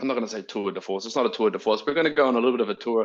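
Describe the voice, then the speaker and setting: In a New Zealand accent, a man talks at a very fast pace. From New Zealand, rural Waikato. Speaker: neuroscience researcher. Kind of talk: academic talk. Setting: video call. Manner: casual, hesitant with fillers.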